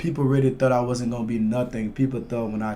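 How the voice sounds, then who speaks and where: Speaking with a Liberian accent, a man has a dark, mellow tone and fairly even intonation, with audible room echo. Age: 20s. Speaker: MMA fighter. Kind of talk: casual interview chat.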